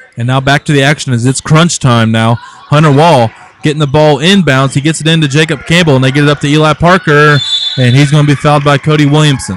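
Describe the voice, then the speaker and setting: A man with a fairly high pitch talks at a very fast pace with fairly even intonation. Noticeable background noise can be heard. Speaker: high school basketball play-by-play announcer. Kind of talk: live sports commentary; casual chat. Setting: broadcast booth at gym.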